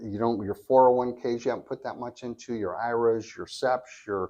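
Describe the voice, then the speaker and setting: Here is an ordinary speaking voice from a man with an American accent. His pitch is medium and his pace moderate. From California. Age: 60s. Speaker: reverse mortgage specialist. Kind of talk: podcast interview.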